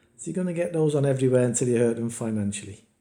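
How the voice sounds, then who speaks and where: The man's tone is dark and mellow. He speaks at a very fast pace. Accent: British. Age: 60s. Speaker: betting YouTuber. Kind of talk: casual screen-share tutorial. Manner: casual, halting with fillers.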